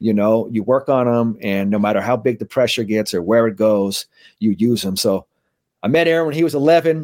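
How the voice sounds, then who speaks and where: With an ordinary speaking voice, a man speaks at a fairly quick pace and medium pitch with lively intonation, in a very clean recording with a silent background. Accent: American. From San Francisco, California (Bernal Heights). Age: 40s. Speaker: mental skills trainer for athletes. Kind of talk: casual interview chat; guided meditation.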